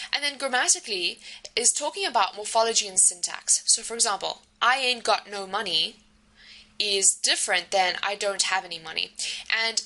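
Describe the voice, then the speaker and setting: Amid noticeable background noise, a woman with a South African accent speaks at a fairly quick pace, her pitch fairly high with ordinary variation. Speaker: university lecturer. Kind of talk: recorded lecture. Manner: hesitant with many fillers.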